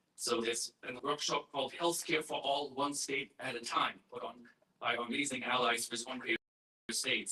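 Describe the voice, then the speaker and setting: A man with a German accent speaks at medium pitch and a moderate pace, his intonation fairly even. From Germany. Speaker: activist group chair. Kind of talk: conference welcome speech. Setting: conference stage with audience. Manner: halting, many fillers. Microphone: poor recording quality.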